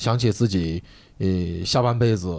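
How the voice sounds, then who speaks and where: Fairly quick and dark, mellow in tone, a man's voice moves with ordinary pitch variation. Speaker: stand-up comedian. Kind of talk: casual chat. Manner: excitable.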